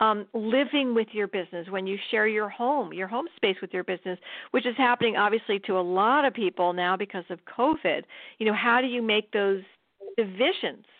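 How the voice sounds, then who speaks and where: A woman with an ordinary speaking voice talks at a fairly high pitch with ordinary pitch variation. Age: 60s. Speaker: cancer survivor and writer. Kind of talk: interview.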